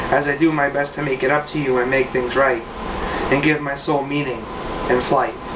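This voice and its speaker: Noticeable noise is present in the background. A man talks through it. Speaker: poet. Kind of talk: spoken word poem, read aloud with rhyme. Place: home room. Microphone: webcam.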